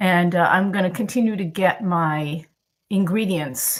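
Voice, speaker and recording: A woman's somewhat breathy, medium-pitched voice with lively intonation. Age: 70s. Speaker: cooking channel host. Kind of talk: live-stream cooking tutorial. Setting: home kitchen, live stream. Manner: casual, chatty with frequent fillers.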